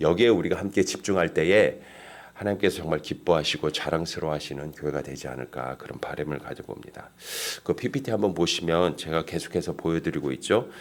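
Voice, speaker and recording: The voice has vocal fry and moves at a very fast pace, with ordinary pitch variation and big swings in loudness. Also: man, very deep, low pitch for a man. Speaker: pastor. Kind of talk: sermon. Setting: church.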